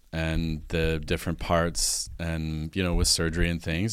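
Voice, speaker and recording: In a very clean recording with a silent background, a man speaks fairly quickly in a very deep, low voice. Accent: western Canadian. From Alberta, Canada (farm). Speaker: Chinese medicine practitioner. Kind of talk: casual interview.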